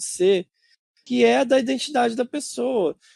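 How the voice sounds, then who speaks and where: A man at a moderate pace, in a very clean recording with a silent background and a dry, close sound with no echo. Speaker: podcaster, science communicator. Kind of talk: casual chat. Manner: hesitant, many fillers.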